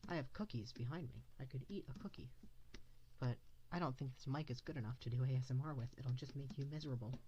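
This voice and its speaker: A very deep, low-pitched woman's voice, dark and mellow and somewhat breathy, at a very fast pace with ordinary pitch variation. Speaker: art livestreamer. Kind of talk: casual livestream chat while drawing. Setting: livestream.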